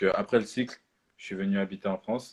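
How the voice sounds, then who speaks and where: There is a man talking at a moderate pace with a fairly low pitch and monotone, flat intonation. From Switzerland. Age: 20s. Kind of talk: sermon. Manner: halting, many fillers.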